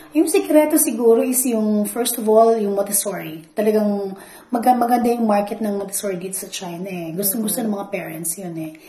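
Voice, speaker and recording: Amid audible room echo, a woman of medium pitch talks at a moderate pace with lively intonation. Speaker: school academic coordinator. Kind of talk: interview.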